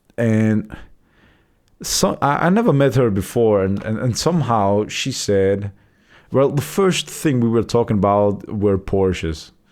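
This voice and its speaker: Here a man talks with a non-native accent. His pace is fairly slow and his pitch fairly low. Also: ordinary pitch variation. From Europe. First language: not English. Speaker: vlogger. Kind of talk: casual monologue. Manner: halting, many repeated words.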